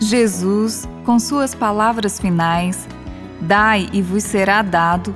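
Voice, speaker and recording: A woman speaks at a very slow pace with clear music in the background. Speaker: radio presenter. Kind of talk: religious radio reflection. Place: studio.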